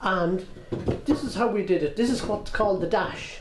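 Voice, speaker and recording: Amid noticeable background noise and audible room echo, a man with an Irish rural midlands accent speaks at a moderate pace with lively intonation. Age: 60s. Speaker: heritage centre owner. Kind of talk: guided tour interview.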